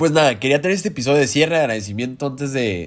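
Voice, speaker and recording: Very fast and with lively intonation, a man talks at medium pitch. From Mexico. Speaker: doctor. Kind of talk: casual chat. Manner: casual, laughing.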